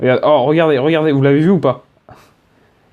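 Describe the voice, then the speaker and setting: Here is a man speaking. His tone is dark and mellow. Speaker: gaming youtuber. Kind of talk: gameplay commentary. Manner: stammering; hesitant with many fillers.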